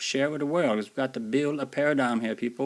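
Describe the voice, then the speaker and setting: A man with an American accent, medium in pitch. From US South. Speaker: YouTuber, video blogger. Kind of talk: casual vlog commentary. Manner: casual, halting with fillers.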